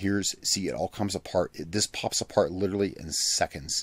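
The speech moves at a fairly quick pace and has a dry sound with no echo. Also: man. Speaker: product reviewer. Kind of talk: casual review commentary. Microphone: studio mic.

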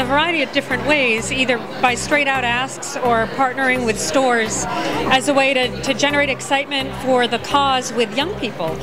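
Over music in the background, a woman speaks at a moderate pace in a raised, projected voice. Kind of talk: interview answer. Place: hall. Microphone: handheld.

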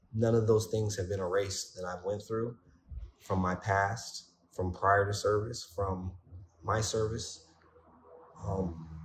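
A man's fairly low voice at a fairly slow pace, broken by long, frequent pauses, with noticeable background noise. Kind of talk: testimonial interview answer. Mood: reflective, earnest. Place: home room. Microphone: phone near.

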